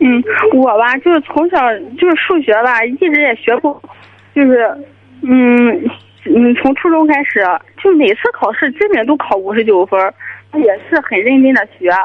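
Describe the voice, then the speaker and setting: With noticeable background noise, a high-pitched woman speaks at a moderate pace with lively intonation, very even loudness and long, frequent pauses. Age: 20s. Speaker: caller, university student. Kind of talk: phone-in advice call.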